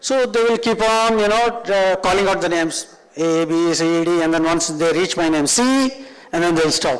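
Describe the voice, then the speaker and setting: In a Telugu accent, a man speaks at a moderate pace with a high pitch and lively intonation, with audible room echo. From northern India (Punjab, Rajasthan). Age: 50s. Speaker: tech trainer. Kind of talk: lecture.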